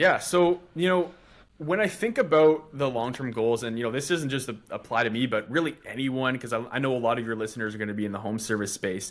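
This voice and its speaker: A man with a Canadian accent speaks in an unremarkable speaking voice at a medium pitch. His intonation is lively and his pace fairly quick. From western Canada (North Shore, Vancouver). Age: 20s. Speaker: marketing agency owner. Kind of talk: podcast interview. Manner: many fillers, conversational.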